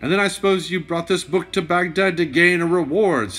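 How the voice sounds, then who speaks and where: Putting on a gruff character voice at a high pitch, a man speaks at a fairly quick pace. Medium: read story. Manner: formal, probing.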